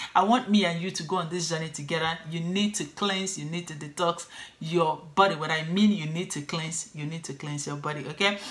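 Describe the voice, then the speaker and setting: A woman's fairly low, somewhat breathy voice holds fairly even intonation but shows big swings in loudness. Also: fairly quick pace, hardly any pauses. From Nigeria. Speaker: YouTuber; product reviewer vlogger. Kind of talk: product review vlog. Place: home room. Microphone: phone near.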